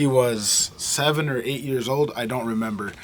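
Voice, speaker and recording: With noticeable noise in the background, a man speaks at a fairly high pitch and ordinary pitch variation. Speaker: musician and vlogger. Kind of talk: casual vlog. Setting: recording studio.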